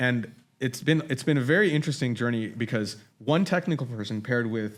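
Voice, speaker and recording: A man at medium pitch speaks at a very fast pace with an animated tone and ordinary pitch variation. The recording is very clean with a silent background. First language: Marathi. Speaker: AI technologist. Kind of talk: casual conversation. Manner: animated, with frequent restarts.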